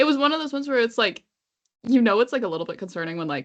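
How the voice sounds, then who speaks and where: In a Canadian accent, a woman speaks at a fairly high pitch with very wide pitch swings. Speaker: podcast co-host. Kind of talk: casual chat.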